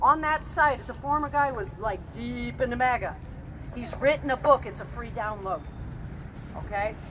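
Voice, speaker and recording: With big swings in loudness and long, frequent pauses, a woman speaks at a moderate pace over noticeable background noise. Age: 60s. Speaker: pastor. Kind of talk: protest speech.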